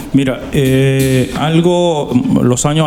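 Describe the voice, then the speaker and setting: Noticeable background noise and audible room echo fill the recording. The intonation is fairly even. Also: man. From Dominican Republic, Santo Domingo. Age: 40s. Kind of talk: interview.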